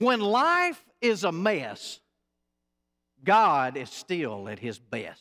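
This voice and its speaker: A man's high-pitched voice, bright and sharp, very slow with long, frequent pauses, very wide pitch swings and big swings in loudness. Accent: Southern US. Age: 40s. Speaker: pastor. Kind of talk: sermon. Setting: church. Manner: animated.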